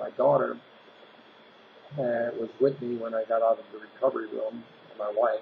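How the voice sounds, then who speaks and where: The man talks at a moderate pace. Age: 60s. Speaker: health vlogger sharing personal story. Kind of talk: personal testimony monologue. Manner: casual, with fillers and restarts.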